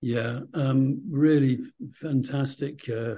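The man has a dark, mellow tone and sounds somewhat breathy. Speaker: podcast host. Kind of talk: interview.

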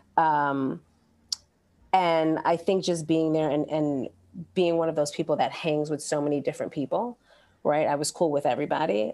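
With an American accent, a woman speaks in a very deep, low pitch and a dark, mellow tone at a moderate pace, keeping fairly even intonation and taking long, frequent pauses in a very clean recording with a silent background. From Brooklyn, New York. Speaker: school counselor. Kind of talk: casual interview chat.

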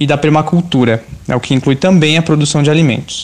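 Here is a plain, everyday voice, a man's with a fairly high pitch. He keeps a moderate pace and ordinary pitch variation. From São Paulo, Brazil (Parelheiros, south zone). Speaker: cook and journalist, editor. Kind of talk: scripted narration.

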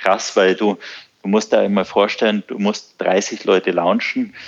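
A man with a southern German accent, fairly low in pitch, flat and monotone, at a moderate pace. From southern Germany, Bavaria (Ammersee). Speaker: surf school owner. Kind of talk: podcast interview.

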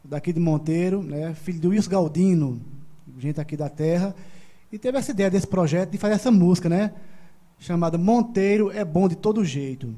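A man's high voice with a dark, mellow tone in a Paraíba accent, ordinary pitch variation and a moderate pace. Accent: Northeastern Brazilian (Paraíba). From João Pessoa, Paraíba, Brazil. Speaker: singer-songwriter. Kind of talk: casual chat, live-streamed podcast interview.

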